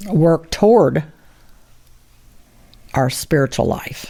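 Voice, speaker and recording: Her very deep, low voice carries vocal fry and lively intonation as this woman talks at a fairly slow pace. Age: 80s+. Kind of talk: interview answer.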